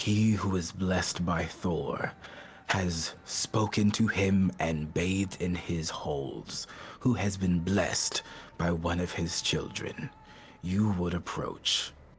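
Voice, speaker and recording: A man puts on a loud, booming character voice, very deep and low in pitch, speaking at a fairly slow pace with fairly even intonation over clear background noise. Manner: commanding, intimidating.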